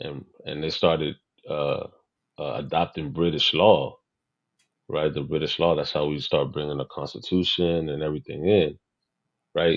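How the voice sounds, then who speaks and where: Fairly slow and fairly even in intonation, a man speaks in a very deep, low pitch with vocal fry. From Puerto Rico. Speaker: local historian. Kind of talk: casual podcast conversation. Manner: halting.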